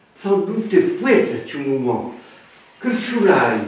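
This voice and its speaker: Noticeable background noise sits behind a man speaking very slowly. His pitch is high and swings very widely. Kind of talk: dialect folk tale telling.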